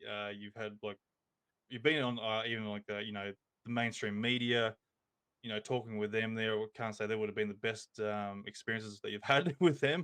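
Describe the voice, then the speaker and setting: In an Australian accent, a man talks at a moderate pace with a fairly low pitch and fairly even intonation. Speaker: podcast host. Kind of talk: casual chat. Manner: halting, many fillers.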